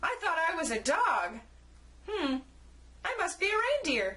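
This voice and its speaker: A woman does a squeaky put-on character voice at an extremely high pitch, her pitch swinging very widely. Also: moderate pace. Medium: read story.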